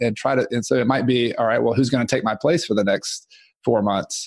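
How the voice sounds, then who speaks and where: With an ordinary speaking voice, a man talks at a fairly quick pace and medium pitch, keeping a fairly even intonation. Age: 30s. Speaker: real estate investor and author. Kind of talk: casual chat.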